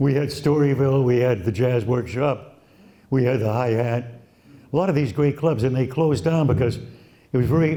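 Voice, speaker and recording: Speaking fairly slowly in an American accent, a man has a dark, mellow, somewhat breathy tone at medium pitch. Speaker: radio broadcaster. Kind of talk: interview answer.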